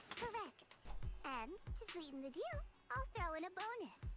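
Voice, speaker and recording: Over clear background noise, a woman performs a put-on character voice at an extremely high pitch, swinging very widely up and down at a moderate pace. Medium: video game. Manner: playful, smooth, teasing.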